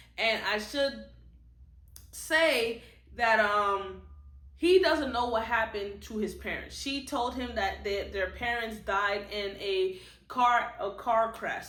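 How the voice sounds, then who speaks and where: At a fairly slow pace, a woman with a fairly high pitch and ordinary pitch variation is heard with audible room echo. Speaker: book reviewer. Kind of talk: casual book review monologue. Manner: stutters and repeats words; casual, conversational.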